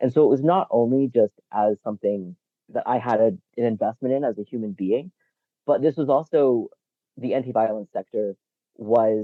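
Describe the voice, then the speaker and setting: Someone with an American accent speaks at a moderate pace with ordinary pitch variation and long, frequent pauses. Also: man, medium pitch for a man. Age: 40s. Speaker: researcher and advocate. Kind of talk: interview.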